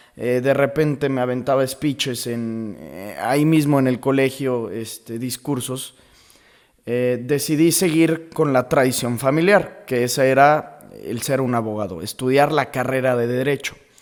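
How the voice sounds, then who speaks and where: Speaking at a fairly slow pace, a man has a medium pitch. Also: ordinary pitch variation. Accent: central Mexican. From Mexico, León, Guanajuato. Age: 20s. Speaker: podcaster, law student. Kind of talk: casual monologue. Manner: conversational, with fillers.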